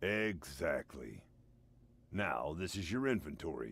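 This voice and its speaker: The pace is fairly slow. This is a put-on character voice. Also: man, very deep, low pitch for a man. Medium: video game. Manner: dry, deadpan.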